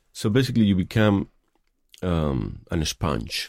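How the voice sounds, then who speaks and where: A man with a Spanish accent speaks at a fairly low pitch on a very clean recording with a silent background. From Spain, Madrid. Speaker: filmmaker. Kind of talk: interview. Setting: studio. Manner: halting.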